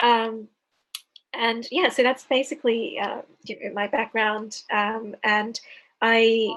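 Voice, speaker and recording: A woman with an Australian accent, fairly high in pitch, at a very slow pace with long, frequent pauses. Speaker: author and PhD student. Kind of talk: interview. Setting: video call. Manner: hesitant, many fillers.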